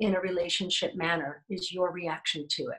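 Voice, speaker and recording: A woman with an American accent sounds somewhat breathy, speaking at a moderate pace against a quiet background. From United States. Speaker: motivational speaker. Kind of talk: interview answer, personal story. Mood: candid, reflective. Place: home room.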